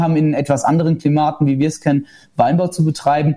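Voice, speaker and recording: Talking at a very fast pace, a man has a fairly high pitch and a dark, mellow tone. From Germany, Rheinhessen. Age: 20s. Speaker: winemaker. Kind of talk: casual interview.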